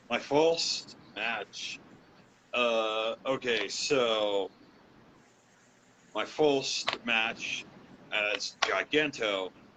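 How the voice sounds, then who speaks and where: Over noticeable background noise, a man speaks at a very slow pace in a medium-pitched voice, with ordinary pitch variation and long, frequent pauses. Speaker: professional wrestler. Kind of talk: interview. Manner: halting, many fillers.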